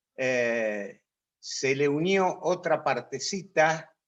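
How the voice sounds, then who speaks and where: A man talks in a fairly high pitch. His pitch variation is ordinary. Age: 60s. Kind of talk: talk to a religious group.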